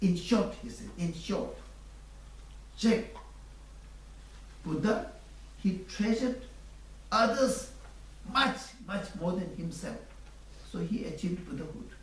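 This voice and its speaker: A man with a Tibetan accent talks at a fairly slow pace with long, frequent pauses and big swings in loudness, with noticeable background noise and audible room echo. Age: 60s. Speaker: Buddhist teacher. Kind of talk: dharma teaching.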